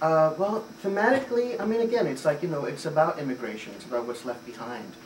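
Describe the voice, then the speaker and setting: A man speaks at a fairly quick pace with very wide pitch swings. Noticeable background noise is present. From Puerto Rico. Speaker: theater director. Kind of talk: interview. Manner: hesitant, many fillers.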